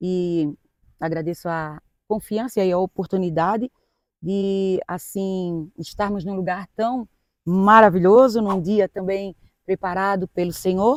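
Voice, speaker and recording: With long, frequent pauses, a woman speaks at a fairly slow pace and with ordinary pitch variation, in a dry, close sound with no echo. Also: medium pitch for a woman. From Florianópolis, Santa Catarina, southern Brazil. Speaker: pastor. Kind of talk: testimony.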